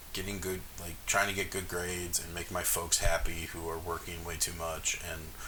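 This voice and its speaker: Noticeable background noise and audible room echo accompany a man's very deep, low voice, delivered in a flat monotone. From US South, Jackson, Mississippi, then Minnesota from sixth grade. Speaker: jazz bassist. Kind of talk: casual interview. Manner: casual, filler-heavy.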